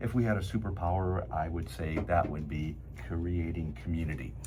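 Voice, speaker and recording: Here a man talks at a moderate pace with a very deep, low pitch and ordinary pitch variation. Audible room echo and noticeable background noise come through. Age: 70s. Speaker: cosmetic surgeon and show host. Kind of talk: interview conversation.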